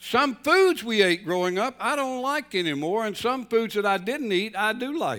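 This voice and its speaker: Over background music, a man with a Southern US accent speaks at a high pitch with lively intonation. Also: moderate pace. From North Carolina. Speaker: pastor. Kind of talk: sermon.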